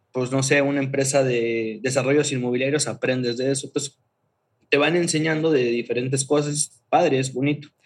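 This man's fairly high-pitched voice keeps a monotone, flat intonation. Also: moderate pace. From Mexico, Chiapas (Tuxtla Gutiérrez). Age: 30s. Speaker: creative agency founder. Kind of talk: casual interview.

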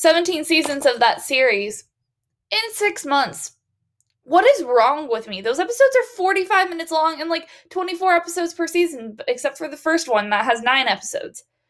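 The woman's pitch is extremely high, with very wide pitch swings. She speaks in an animated tone at a moderate pace. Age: 20s. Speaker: podcast host. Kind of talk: casual solo monologue.

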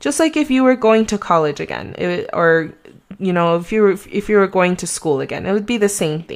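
A woman speaks with a Mexican accent and lively intonation. The recording is very clean with a silent background. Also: medium pitch for a woman, fairly quick pace. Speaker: real estate agent podcaster. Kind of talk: solo podcast monologue. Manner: casual, hesitant with many fillers.

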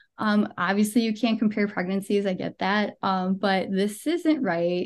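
A woman with an American accent speaks at a moderate pace in a fairly high pitch, with ordinary pitch variation against a quiet background. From Western New York, Buffalo. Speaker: content writer and podcaster. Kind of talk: interview, personal health story.

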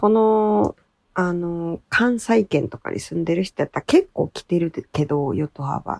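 A woman speaks at a fairly slow pace with a fairly low pitch and very wide pitch swings. The sound is dry and close, with no echo. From Japan, Nishinomiya, Hyogo (Kansai). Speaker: podcast co-host. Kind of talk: casual chat.

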